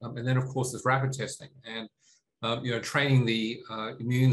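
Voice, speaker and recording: A man talks with an Australian accent in a monotone, flat intonation. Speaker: tech company CEO. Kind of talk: interview. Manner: halting, many fillers.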